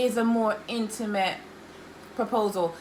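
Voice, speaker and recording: A woman's fairly high, animated voice against noticeable background noise. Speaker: vlogger. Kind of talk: casual chat. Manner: loud.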